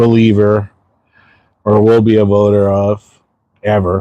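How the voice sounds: A man speaks at a fairly slow pace, his pitch fairly low and his tone slightly mellow.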